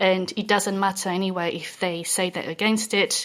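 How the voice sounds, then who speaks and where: Monotone, flat intonation from a woman with a medium pitch, at a moderate pace. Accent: French. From France. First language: French. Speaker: reward consultant. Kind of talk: podcast discussion. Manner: hesitant, many fillers.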